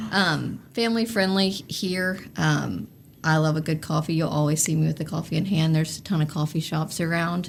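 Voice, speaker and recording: In a very clean recording with a silent background, a woman with a Southern US accent talks in a very deep, low pitch, somewhat breathy, with very even loudness and ordinary pitch variation. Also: moderate pace. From North Carolina (Oak Ridge, near Greensboro). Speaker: sports marketing executive. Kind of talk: casual interview chat.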